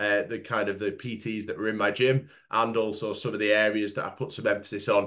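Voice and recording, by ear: In a fairly low pitch, a man speaks at a fairly quick pace with a fairly bright, nasal tone and little pitch movement.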